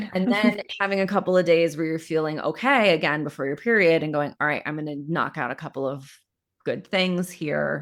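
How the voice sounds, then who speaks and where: An ordinary speaking voice with ordinary pitch variation, moving at a fairly quick pace. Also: woman, fairly low pitch for a woman. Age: 40s. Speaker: period coach and podcast host. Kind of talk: live coaching podcast conversation.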